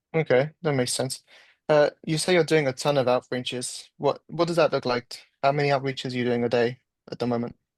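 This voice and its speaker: Fairly quick speech from a man at a medium pitch, dry and close with no echo over a quiet background. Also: fairly even intonation. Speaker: sales trainee in roleplay. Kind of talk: sales roleplay call. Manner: direct, straightforward.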